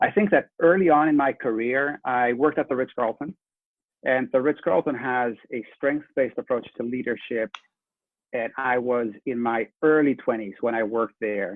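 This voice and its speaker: A man talks with a slight Dutch accent. His pace is moderate and his pitch varies in an ordinary way. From Netherlands. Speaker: leadership coach and trainer. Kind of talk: interview.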